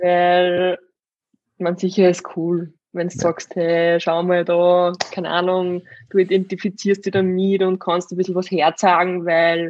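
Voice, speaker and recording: At a moderate pace, the speaker talks with an Upper Austrian accent. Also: woman. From Upper Austria, Steyr. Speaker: fitness coach and bodybuilder. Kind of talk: casual chat.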